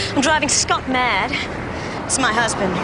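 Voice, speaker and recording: The sound is dry with no echo, and there is loud noise in the background. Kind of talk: scripted drama dialogue. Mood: distressed, upset. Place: street.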